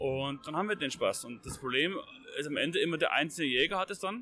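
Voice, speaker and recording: He speaks with a Bavarian accent. His intonation is lively throughout. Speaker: hunting magazine editor. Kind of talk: casual discussion. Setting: trade fair.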